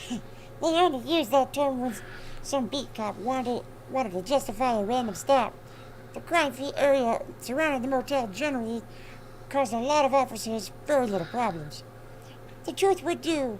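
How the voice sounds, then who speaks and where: A woman with a high voice talks at a moderate pace, leaving long, frequent pauses, over clear background noise. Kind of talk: crime novel read aloud. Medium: game stream. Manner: wry, commenting asides.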